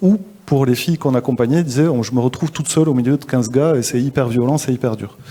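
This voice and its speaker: Noticeable background noise surrounds a man's voice. He has a medium pitch and ordinary pitch variation. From southwestern France, Toulouse. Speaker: social entrepreneur, school founder. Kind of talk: interview at a live forum. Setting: live event. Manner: hesitant, many fillers.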